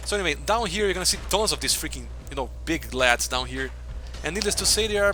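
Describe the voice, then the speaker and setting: A man with a Brazilian accent at a very fast pace, against noticeable background noise. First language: Portuguese. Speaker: video game streamer. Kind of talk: live gameplay commentary.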